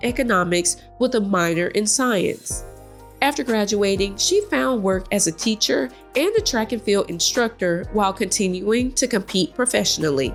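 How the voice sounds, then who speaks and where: A woman with an American accent and a medium pitch speaks at a moderate pace with lively intonation. Music plays in the background. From Southwest Georgia, US. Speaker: lifestyle and history blogger. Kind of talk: history narration.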